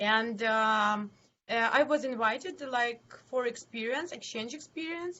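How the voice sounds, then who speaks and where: Her speech is very slow, in a Ukrainian accent. This woman has a high pitch with ordinary pitch variation. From Ukraine, Zhytomyr. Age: 20s. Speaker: city council member and NGO head. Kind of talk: interview. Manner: halting.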